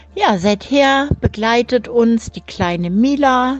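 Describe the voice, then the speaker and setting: Noticeable background noise runs under this recording. The speaker is a woman whose pitch varies in an ordinary way. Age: 50s. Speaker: grandmother and dog owner. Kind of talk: recorded voice message.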